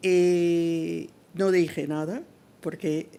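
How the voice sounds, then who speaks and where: Dark, mellow tone in a woman's voice set fairly low in pitch. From North America. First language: English (speaking Spanish). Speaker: civil rights activist. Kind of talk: testimony. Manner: halting.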